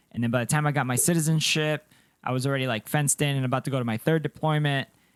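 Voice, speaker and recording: The man's voice comes through dry and close, with no echo. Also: very clean recording, silent background. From Colombia, moved to US as child. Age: 30s. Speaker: podcast co-host, army veteran. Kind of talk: casual chat. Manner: sounds young; animated.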